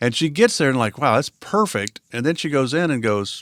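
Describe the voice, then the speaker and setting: A man with a normal speaking voice at medium pitch and a fairly quick pace, on a very clean recording with a silent background. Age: 60s. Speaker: podcast co-host. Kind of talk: casual chat.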